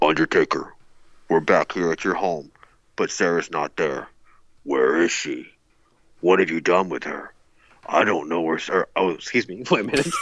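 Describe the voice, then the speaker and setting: A man puts on a character voice with a very deep, low pitch. He leaves long, frequent pauses. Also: moderate pace. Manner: menacing, creepy.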